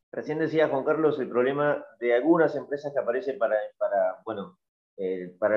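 The man's pitch sits fairly high and his intonation is lively. He speaks with a Rioplatense accent. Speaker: podcast host. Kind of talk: interview.

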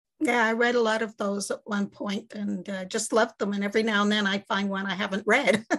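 Hardly pausing, a woman with a Montreal accent talks at a fairly quick pace with fairly even intonation. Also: medium pitch for a woman. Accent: Canadian English, Montreal. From Quebec, Montreal. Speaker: mystery author. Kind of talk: interview.

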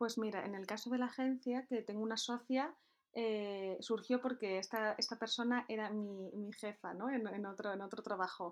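A woman speaks in a normal speaking voice, fairly high in pitch, at a moderate pace with fairly even intonation. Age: 20s. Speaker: entrepreneur. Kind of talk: interview.

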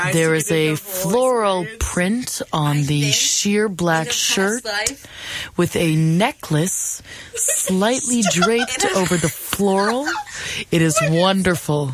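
Delivered at a very slow pace in an American accent, the speech has lively intonation and very even loudness, with noticeable background noise behind it. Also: woman, medium pitch for a woman. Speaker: college radio show co-host. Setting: radio studio.

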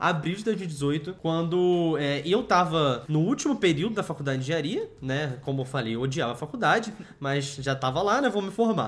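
An ordinary speaking voice from a man, fairly high-pitched, lively in intonation, at a moderate pace with hardly any pauses. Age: 20s. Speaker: business co-founder and podcast co-host. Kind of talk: casual chat.

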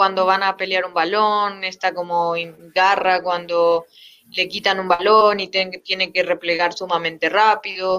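Using a plain, everyday voice, a woman speaks fairly slowly at a medium pitch with fairly even intonation. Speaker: football coach. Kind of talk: interview.

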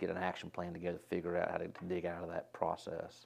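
Over a quiet background, a man with an American accent and a very deep, low pitch speaks at a fairly quick pace. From North Carolina, Winston-Salem. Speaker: restaurant franchise executive. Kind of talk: casual interview.

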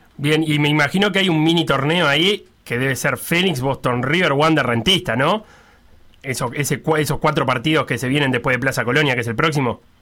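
A man talks in a Uruguayan accent with a bright, sharp tone. His pitch is fairly high, his pace fairly quick, and his pitch variation ordinary. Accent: Rioplatense Spanish (Uruguayan). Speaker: sports radio host. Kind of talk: casual sports radio chat and interview.

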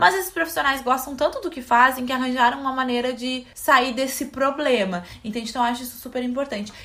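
Raised and projected, a woman's high voice rushes along very fast with hardly any pauses and ordinary pitch variation. Her loudness swings widely. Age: 20s. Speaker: podcast co-host, fashion content creator. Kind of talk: casual chat.

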